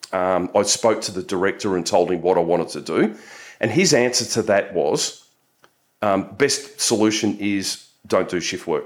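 Over a silent background in a very clean recording, a man with an Australian accent talks at a moderate pace in a fairly low voice. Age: 50s. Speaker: nutritionist and police officer, shift work educator. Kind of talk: interview. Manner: frequent filler words.

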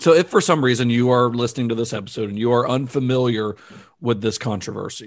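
A man speaks at a very fast pace. His pitch is medium, and the background is quiet. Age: 30s. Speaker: podcast co-host. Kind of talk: casual film discussion podcast.

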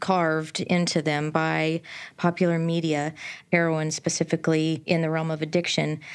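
A woman's voice, fairly low in pitch, unfolds at a moderate pace. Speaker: podcast host. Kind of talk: scripted intro and interview.

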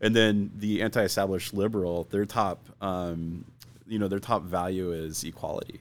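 A plain, everyday voice with an American accent, moderate in pace, with fairly even intonation. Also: man, fairly low pitch for a man. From US Southwest, Arizona (Phoenix/Scottsdale). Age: 40s. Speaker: pastor. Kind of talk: casual chat.

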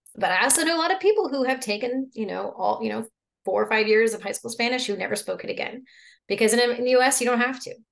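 A woman with an American accent, high-pitched, at a very fast pace. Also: ordinary pitch variation. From Oklahoma. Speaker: French teacher. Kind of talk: casual conversation.

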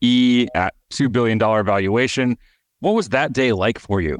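An ordinary speaking voice from a man at medium pitch, with ordinary pitch variation, comes through a dry, close sound with no echo and a quiet background. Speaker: podcast host. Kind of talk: interview.

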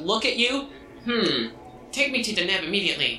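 A man in a put-on character voice, high in pitch, at a fairly quick pace with ordinary pitch variation and clear background noise. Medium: actual play. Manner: clipped, impatient, distracted.

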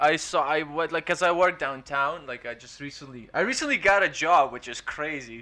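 A man's fairly high, bright, sharp voice at a moderate pace, with ordinary pitch variation, hardly any pauses and big swings in loudness. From Eastern Europe. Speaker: stand-up comedian. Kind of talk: casual chat. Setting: remote call.

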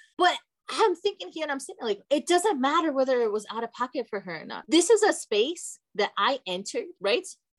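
Her pitch is high and swings very widely. The woman talks at a fairly quick pace. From Brazil. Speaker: guest. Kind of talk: casual chat.

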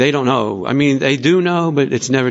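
The man's pitch varies in an ordinary way as he speaks. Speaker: twelve-step member. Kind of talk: testimony. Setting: convention meeting room. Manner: hesitant.

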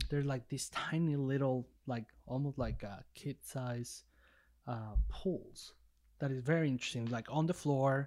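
Speaking with a Spanish accent, a man talks at a fairly slow pace with a medium pitch. His intonation stays fairly even, and the recording is very clean with a silent background. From Mexico. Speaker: podcast co-host. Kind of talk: casual interview.

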